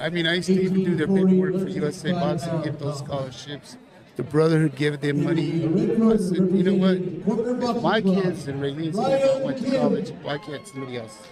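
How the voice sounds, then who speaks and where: A man speaks in a high pitch with lively intonation and hardly any pauses. Noticeable background noise runs underneath. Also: fairly quick pace. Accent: American. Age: 60s. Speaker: boxing coach. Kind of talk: casual interview chat.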